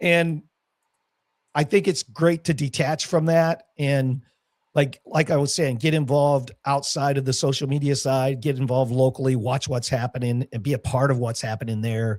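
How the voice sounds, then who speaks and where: A man with an American accent and a normal speaking voice, fairly high in pitch, ordinary pitch variation, moderate pace, dry, close sound with no echo, very clean recording on a silent background. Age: 60s. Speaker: crypto entrepreneur and army veteran. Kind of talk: casual chat.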